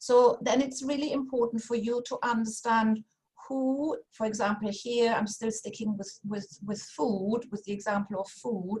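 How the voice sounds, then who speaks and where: A woman talks in a somewhat breathy voice with a German accent. Her pace is moderate. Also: fairly high pitch for a woman, fairly even intonation. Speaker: funding consultant. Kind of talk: workshop presentation. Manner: halting, many fillers.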